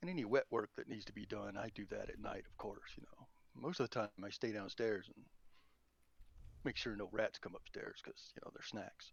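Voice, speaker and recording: The speaker is a man with a Southern US accent. His volume rises and falls in big swings. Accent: southern drawl. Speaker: tabletop roleplaying player. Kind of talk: casual chat. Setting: online voice chat.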